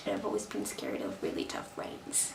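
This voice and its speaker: A woman amid noticeable background noise and audible room echo. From Brazil. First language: Portuguese. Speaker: vlogger. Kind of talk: casual vlog monologue. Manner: animated.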